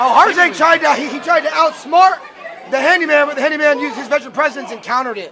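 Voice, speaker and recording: Crowd noise fills the background as a raised, projected voice races along at a very fast pace with big swings in loudness. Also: man, extremely high pitch for a man, ordinary pitch variation. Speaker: wrestling ring announcer and commentator. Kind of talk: live sports commentary. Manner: jokey, banter-heavy.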